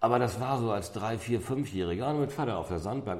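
The voice moves at a fairly quick pace with very wide pitch swings, vocal fry, and a dark, mellow tone. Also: man. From North Frisia, Schleswig-Holstein. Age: 50s. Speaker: amber museum owner. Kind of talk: interview. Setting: in his shop.

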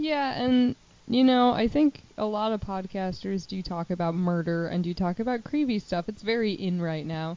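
A woman's ordinary speaking voice with an American accent, medium pitch, moderate pace, and lively intonation. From Chicago suburbs, Illinois. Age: 20s. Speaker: podcast co-host, counselor. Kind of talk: casual chat.

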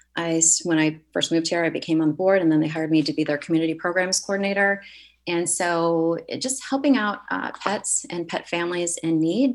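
A woman with an American accent, fairly low in pitch, at a fairly quick pace with ordinary pitch variation, over a quiet background. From US Midwest, Michigan. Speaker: pet photographer. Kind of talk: radio interview.

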